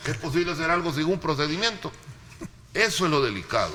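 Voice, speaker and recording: Through noticeable background noise, a man talks at a fairly quick pace with a fairly high pitch. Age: 60s. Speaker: political commentator. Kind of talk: panel debate. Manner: animated.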